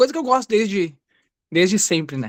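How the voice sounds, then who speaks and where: Lively intonation marks this man's speech at a moderate pace. The recording is very clean, with a silent background. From Rio Grande do Sul, Brazil. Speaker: beginner content creator. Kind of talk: self-introduction.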